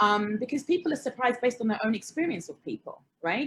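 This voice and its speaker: A woman speaks with a British accent and lively intonation. Her voice is somewhat breathy. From England, Hertfordshire (Watford). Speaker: panelist. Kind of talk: panel discussion.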